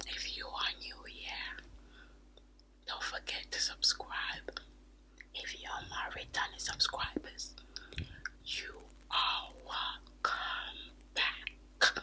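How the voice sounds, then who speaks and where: A woman whispers at a very slow pace, leaving long, frequent pauses. Noticeable background noise runs underneath. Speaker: ASMR and beauty YouTuber. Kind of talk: casual talk to camera, reading viewer comments. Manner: soft-spoken, whispery.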